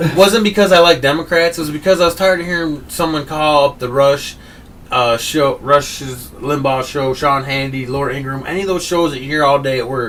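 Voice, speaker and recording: A man with an American accent speaks in an animated tone at a fairly quick pace, his fairly high voice showing ordinary pitch variation. Noticeable background noise can be heard. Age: 30s. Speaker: political talk show host. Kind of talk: heated debate.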